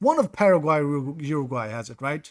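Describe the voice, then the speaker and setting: The recording is very clean and the background silent as a man talks fairly quickly. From Sweden. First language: Swedish. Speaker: gaming streamer. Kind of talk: live gameplay commentary. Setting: live stream. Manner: casual, thinking aloud.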